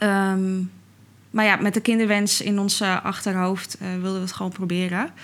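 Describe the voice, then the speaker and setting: The woman's voice sits at a medium pitch. Her intonation is monotone and flat. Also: moderate pace. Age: 30s. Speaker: podcast guest, mother. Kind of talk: casual interview.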